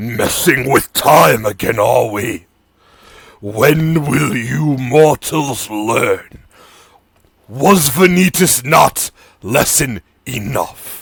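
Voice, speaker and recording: Putting on a growling, booming character voice, a man speaks loudly at a medium pitch and a very slow pace, with long, frequent pauses. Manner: cold, reproachful, angry.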